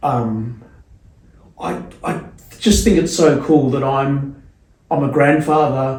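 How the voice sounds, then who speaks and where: Speaking at a very slow pace with long, frequent pauses, a man with a fairly high pitch shows ordinary pitch variation amid audible room echo. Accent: Australian. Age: 50s. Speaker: skateboarder and skate photographer. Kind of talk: casual chat. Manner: halting, many repeated words.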